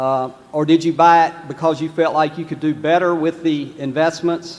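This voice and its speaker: A man with a North Carolina accent speaks with monotone, flat intonation. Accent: Southern US (North Carolina). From North Carolina, Lexington. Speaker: shareholder asking a question. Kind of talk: audience question. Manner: hesitant, many fillers.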